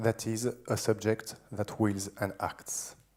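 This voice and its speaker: A man is speaking. He has a strong French accent. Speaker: philosopher. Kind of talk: lecture. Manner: seated, informal delivery.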